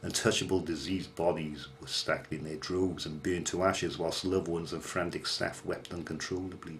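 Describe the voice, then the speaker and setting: With a Welsh accent, a man speaks in a very deep, low pitch, somewhat breathy and monotone, with hardly any pauses. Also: fairly quick pace. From Wales. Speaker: horror storyteller. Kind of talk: ghost story narration. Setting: home bedroom.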